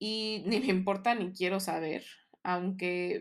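With a normal speaking voice, a woman of medium pitch talks at a fairly slow pace with fairly even intonation. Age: 30s. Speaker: podcast host. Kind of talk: personal monologue.

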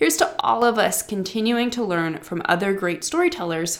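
A woman speaks with a Midwestern accent at a medium pitch. Her pitch swings very widely. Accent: Midwestern American, says warsh for wash. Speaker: writing coach podcast host. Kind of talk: scripted narration.

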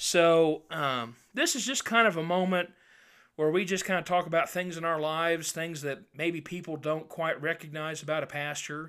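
A man with an American accent speaks at a moderate pace in a high pitch, his bright, sharp tone held to fairly even intonation, in a very clean recording with a silent background. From Indiana, rural farm. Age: 20s. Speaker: podcast host and pastor, cattle farmer. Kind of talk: casual chat.

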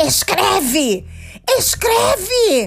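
A shrill, robotic, put-on character voice. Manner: commanding.

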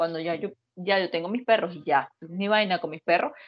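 A woman talking fairly fast with a Venezuelan accent. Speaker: podcast co-host. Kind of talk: casual chat.

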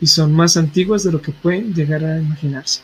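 A man with a plain, everyday voice talks at a moderate pace, keeping his fairly high pitch in fairly even intonation. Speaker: podcast co-host. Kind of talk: reading aloud; casual chat.

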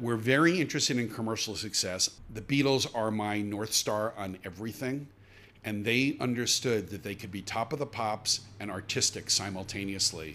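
Speaking at a moderate pace, a man with a fairly low pitch has a bright, sharp tone and ordinary pitch variation. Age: 60s. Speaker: media executive. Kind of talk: interview.

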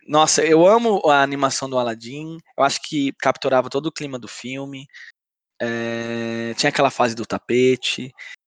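Against a quiet background, a man with a normal speaking voice talks at a moderate pace and medium pitch, with ordinary pitch variation and big swings in loudness. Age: 20s. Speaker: podcast co-host. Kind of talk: casual chat.

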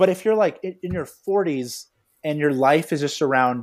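A plain, everyday voice from a man with an American accent, fairly high in pitch, with lively intonation and a fairly quick pace, on a very clean recording with a silent background. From US West Coast (Los Angeles area). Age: 30s. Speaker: farmer and health author. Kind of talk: casual chat.

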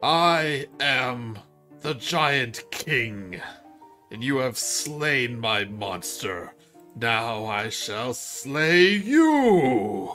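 Faint music plays behind a man doing a put-on character voice at medium pitch and a very slow pace. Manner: menacing, boastful.

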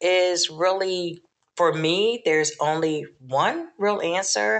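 Her pitch fairly low for a woman, this woman talks with ordinary pitch variation. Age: 60s. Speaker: Navy veteran and graduate student. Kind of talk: casual chat.

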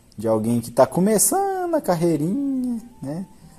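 This voice, dark and mellow in tone, moves at a moderate pace. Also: man. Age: 20s. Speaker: podcast host. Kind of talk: monologue.

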